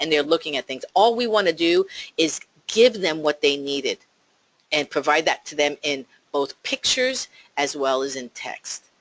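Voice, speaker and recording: With a strong New Jersey accent, a woman speaks at a moderate pace in a very deep, low voice with ordinary pitch variation, the sound dry and close with no echo. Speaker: real estate agent. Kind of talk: talk to a team of agents. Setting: office, call with remote listeners.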